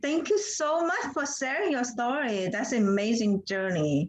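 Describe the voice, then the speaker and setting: A woman's high-pitched voice with a non-native accent and very wide pitch swings, over noticeable background noise. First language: not English. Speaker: skincare specialist, show host. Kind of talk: interview.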